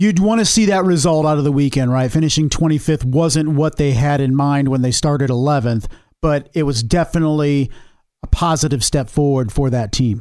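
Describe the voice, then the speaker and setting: Pitched fairly high, a man speaks at a fairly quick pace with very even loudness. He has a plain, everyday voice. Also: ordinary pitch variation. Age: 30s. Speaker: motorsport podcast co-host. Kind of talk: casual sports discussion.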